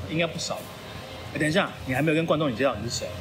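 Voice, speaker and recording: Noticeable background noise and audible room echo surround a man whose voice sits at a fairly high pitch. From Taiwan (Changhua). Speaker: podcast co-host. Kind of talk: casual chat.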